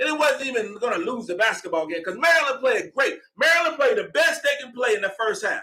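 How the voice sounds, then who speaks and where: The voice is raised and projected. Its tone is animated. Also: man. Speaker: sports podcast host. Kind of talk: live postgame show, casual commentary. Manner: fast.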